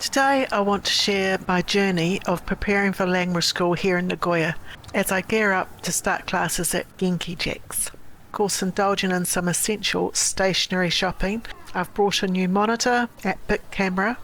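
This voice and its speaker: Speaking in a New Zealand accent, a woman keeps a moderate pace, a medium pitch and fairly even intonation. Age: 50s. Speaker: lifestyle vlogger. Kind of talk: vlog narration.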